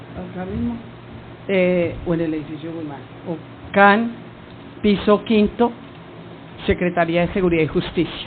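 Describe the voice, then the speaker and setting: With noticeable background noise, a woman with a fairly low pitch and ordinary pitch variation speaks at a fairly slow pace, with big swings in loudness and long, frequent pauses. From Colombia, Cali. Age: 60s. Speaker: witness, government lawyer. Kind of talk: sworn testimony. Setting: hearing room.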